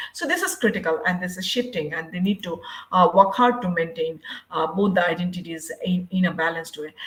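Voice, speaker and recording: A woman with a Bangladeshi accent talks at a fairly quick pace, with a medium pitch and ordinary pitch variation. Noticeable background noise is present. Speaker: university English lecturer, researcher. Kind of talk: conference presentation. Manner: halting, with frequent fillers.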